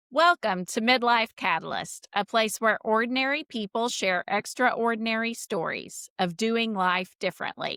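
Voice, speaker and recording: Bright and sharp in tone, a woman speaks at a fairly high pitch and fairly slow pace in a dry, close sound with no echo. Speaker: podcast host. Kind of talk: podcast interview.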